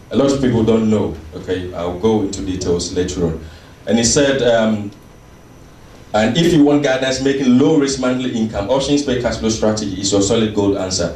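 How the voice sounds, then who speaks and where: A man with a Ghanaian accent speaks fairly quickly at a medium pitch with lively intonation. Audible room echo and noticeable background noise fill the recording. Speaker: seminar speaker. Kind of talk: motivational sales seminar talk. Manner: animated.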